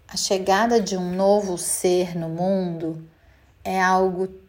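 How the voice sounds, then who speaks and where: A woman talks at a very slow pace, and her voice has audible room echo. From Brazil, Minas Gerais (Belo Horizonte). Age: 40s. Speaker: mother, creative director. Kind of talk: interview testimony.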